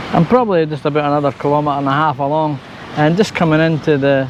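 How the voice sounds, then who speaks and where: Over noticeable background noise, a man with an Edinburgh accent talks. His pace is fairly quick, his pitch fairly high and his intonation fairly even. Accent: Scottish (Edinburgh). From Scotland, Edinburgh. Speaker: travel vlogger. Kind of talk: casual chat; vlog narration. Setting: on a motorbike.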